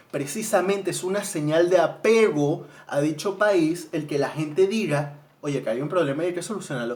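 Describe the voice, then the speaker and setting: This man speaks in a Venezuelan accent at a moderate pace, his tone animated. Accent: Venezuelan accent slipping out. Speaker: vlogger, student. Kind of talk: casual monologue. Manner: halting, repeats words.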